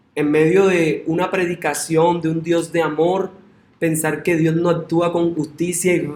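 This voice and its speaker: A high-pitched man at a very slow pace, with audible room echo. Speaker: pastor. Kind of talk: sermon.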